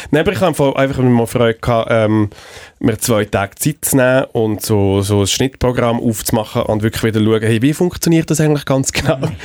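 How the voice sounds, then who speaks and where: With an unremarkable speaking voice at medium pitch, a man talks at a moderate pace with ordinary pitch variation and very even loudness, on a very clean recording with a silent background. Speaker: radio executive and podcast co-host. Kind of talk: casual chat.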